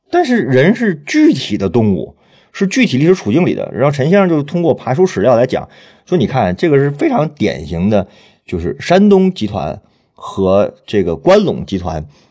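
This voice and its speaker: Here a man talks at a moderate pace, his dark, mellow tone touched by vocal fry. His pitch swings very widely against a quiet background. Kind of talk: panel conversation, podcast interview.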